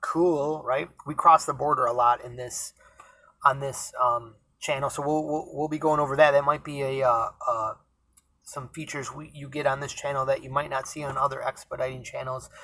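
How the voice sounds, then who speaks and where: The speaker has a Rochester accent. The pace is moderate. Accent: Rochester, New York. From Rochester, New York, US. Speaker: van expediter, vlogger. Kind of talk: casual vlog monologue. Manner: halting, many fillers.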